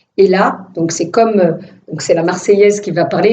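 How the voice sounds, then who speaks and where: A woman at a medium pitch, speaking at a fairly slow pace with audible room echo. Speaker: filmmaker. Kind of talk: testimony. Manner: animated, casual; hesitant repetitions.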